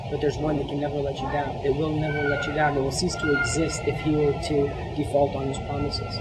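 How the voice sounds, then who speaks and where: Loud background noise runs under a man who talks very fast. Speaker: speaker. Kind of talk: sermon. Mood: earnest, warm. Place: church.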